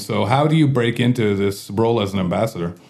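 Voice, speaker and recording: A man with an unremarkable speaking voice talks at a moderate pace using lively intonation. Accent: Canadian. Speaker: podcast host and bar owner. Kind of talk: casual interview chat. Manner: jokey, laughs often.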